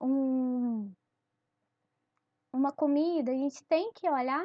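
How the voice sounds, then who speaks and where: Her pace is very slow. The woman speaks at a high pitch. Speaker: teacher. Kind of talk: lecture. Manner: halting, many fillers.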